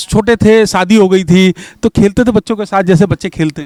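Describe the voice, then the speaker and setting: A man speaks with a high pitch at a moderate pace. The sound is dry and close, with no echo. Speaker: community radio interviewer. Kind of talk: interview questions.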